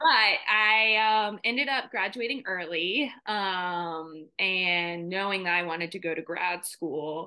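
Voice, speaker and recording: A woman with ordinary pitch variation against a quiet background. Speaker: podcast guest. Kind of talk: interview answer. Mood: warm, laughing at times. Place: home room. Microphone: video call.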